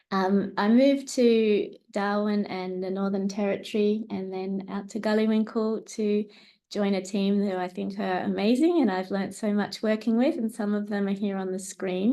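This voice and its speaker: With an Australian accent, a woman talks at a moderate pace in a medium pitch, her intonation fairly even over a quiet background. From New South Wales, Australia (Tamworth). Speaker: researcher and speech pathologist. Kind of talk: academic seminar presentation.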